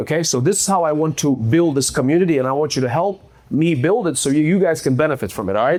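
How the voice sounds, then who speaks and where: The speech rushes at a very fast pace with lively intonation. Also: man. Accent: non-native. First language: not English. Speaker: real estate investor. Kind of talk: presentation to live audience. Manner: casual, conversational.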